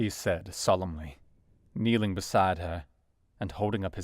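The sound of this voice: It's an unforced reading voice. Nothing more stands out.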